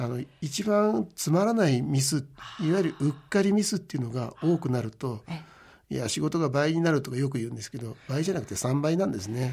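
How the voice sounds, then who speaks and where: In a very clean recording with a silent background, a man talks at a fairly quick pace in a fairly high, somewhat breathy voice with a dark, mellow tone and lively intonation. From Japan, Gunma (Maebashi). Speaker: company president. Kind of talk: radio interview. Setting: radio studio.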